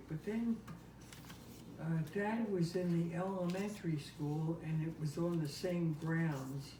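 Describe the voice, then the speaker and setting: Noticeable background noise sits behind a woman with an American accent. She speaks at a fairly slow pace in a fairly low voice with ordinary pitch variation. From Camden, New Jersey. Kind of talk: family interview answers. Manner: hesitant, reminiscing.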